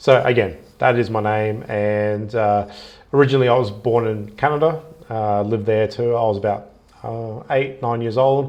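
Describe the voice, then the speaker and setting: With audible room echo around him, a man speaks in an Australian accent with fairly even intonation. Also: medium pitch for a man, moderate pace. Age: 30s. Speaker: travel vlogger. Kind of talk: casual live stream monologue. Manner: hesitant, many fillers.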